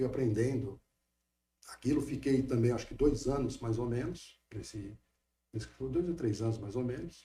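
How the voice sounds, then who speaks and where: A man's dark, mellow, somewhat breathy voice at a medium pitch, moderate pace, with long, frequent pauses. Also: ordinary pitch variation. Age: 60s. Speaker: lawyer. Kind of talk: interview.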